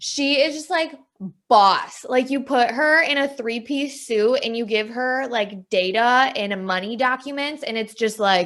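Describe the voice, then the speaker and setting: A woman with a Wisconsin accent speaks at a fairly slow pace in a high pitch, her tone animated. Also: ordinary pitch variation. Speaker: podcast co-host, sales training manager. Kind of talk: casual chat.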